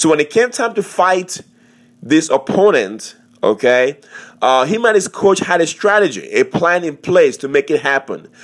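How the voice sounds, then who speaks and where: A man at a moderate pace with lively intonation. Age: 40s. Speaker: fitness podcast host and personal trainer. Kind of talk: motivational monologue. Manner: animated.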